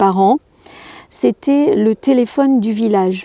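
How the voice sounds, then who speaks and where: Dark and mellow in tone, a woman speaks at a medium pitch and a very slow pace in a dry, close sound with no echo. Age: 60s. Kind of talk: interview conversation. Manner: halting, many hesitations.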